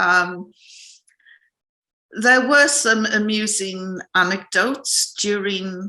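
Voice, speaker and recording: A woman speaks very slowly in a northern English accent, her tone bright and sharp. The background is quiet. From northern England. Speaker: journalist. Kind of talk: interview.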